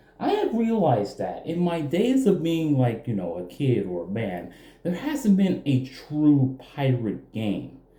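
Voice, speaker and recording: The speaker's pitch swings very widely at a fairly slow pace, with hardly any pauses. Audible room echo and noticeable background noise run through the recording. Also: man, fairly high pitch for a man. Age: 20s. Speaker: gaming youtuber. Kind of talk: casual game review.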